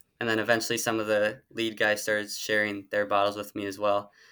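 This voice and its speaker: A man speaks with an Upper Midwest US accent. His pitch is fairly low and his tone bright and sharp. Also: very clean recording, silent background. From Minnesota. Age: 20s. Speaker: marathon runner. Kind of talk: casual interview.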